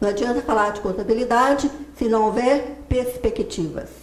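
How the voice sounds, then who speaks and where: A woman's high voice with ordinary pitch variation, audible room echo and noticeable background noise. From Minas Gerais, Brazil. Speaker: accountant and professor giving a talk. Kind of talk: lecture.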